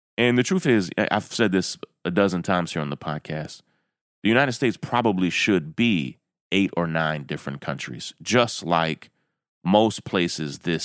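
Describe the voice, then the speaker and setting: A man with a Southern US accent speaks at a moderate pace in a very deep, low voice with lively intonation, recorded very cleanly against a silent background with a dry, close sound and no echo. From rural Kentucky. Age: 40s. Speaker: podcast host. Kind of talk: commentary monologue.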